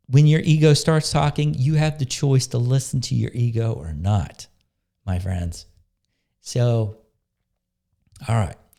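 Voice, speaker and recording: A man with a medium pitch and a dark, mellow, somewhat breathy tone speaks at a fairly slow pace with lively intonation and long, frequent pauses. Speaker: spiritual coach and healing facilitator. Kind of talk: monologue with guided meditation. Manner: casual, conversational; slow and soft when guiding meditation.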